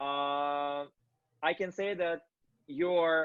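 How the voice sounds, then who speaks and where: A man speaks with a non-native accent. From Kazakhstan. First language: not English. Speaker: interviewer, company founder. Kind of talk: interview. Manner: halting.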